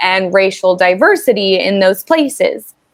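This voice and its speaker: A woman with a normal speaking voice talks at a fairly slow pace and a medium pitch. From US South, Tennessee. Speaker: online English tutor. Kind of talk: casual conversation lesson.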